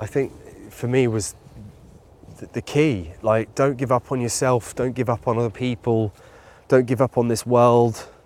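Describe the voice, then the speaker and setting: A man with a British accent and a medium pitch speaks at a fairly slow pace with fairly even intonation and long, frequent pauses, the sound dry and close with no echo. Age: 30s. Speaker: endurance athlete. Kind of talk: casual conversation. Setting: outdoors, walking in a park.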